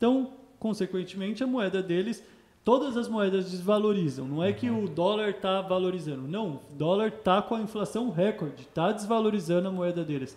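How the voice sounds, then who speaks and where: This man's voice is pitched high. His intonation moves in a lively way. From São Paulo, East Zone (Penha). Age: 20s. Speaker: financial educator. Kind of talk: podcast interview.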